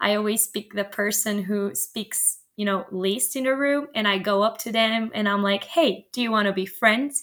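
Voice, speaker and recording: The delivery has a moderate pace. There are hardly any pauses. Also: woman, fairly high pitch for a woman, ordinary pitch variation. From Romania. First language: Romanian. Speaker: medical student. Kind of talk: interview. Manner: cheerful, laughs often.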